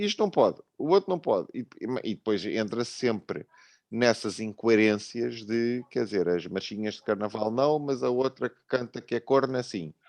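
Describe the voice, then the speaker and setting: A man with a European Portuguese accent speaks at a moderate pace with medium pitch and lively intonation, the sound dry and close with no echo. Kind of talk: online panel debate.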